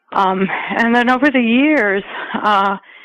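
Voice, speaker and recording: A woman speaks with ordinary pitch variation. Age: 60s. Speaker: nonprofit executive and advocate. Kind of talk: interview. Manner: halting, many fillers.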